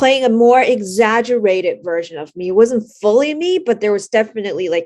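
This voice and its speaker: Against a quiet background, a woman talks with a Chinese accent. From China. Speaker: actress. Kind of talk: interview.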